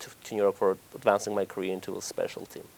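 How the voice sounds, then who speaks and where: A man with a fairly low voice talks very fast, the sound dry and close with no echo. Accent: Armenian. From Armenia. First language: Armenian. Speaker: oncology doctor. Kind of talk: TV interview. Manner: hesitant, many fillers.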